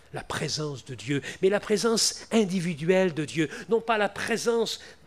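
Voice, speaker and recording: A man with lively intonation. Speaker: preacher. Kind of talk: evangelical sermon, Bible exposition turning into prayer. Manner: repetitive, emotional, moving to a pleading prayer.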